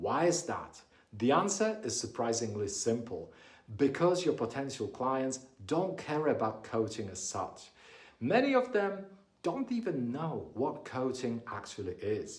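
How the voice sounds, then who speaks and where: The speaker talks at a fairly slow pace with very wide pitch swings, sounding somewhat breathy amid audible room echo. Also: man, fairly high pitch for a man. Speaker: business coach. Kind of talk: talking-head tutorial.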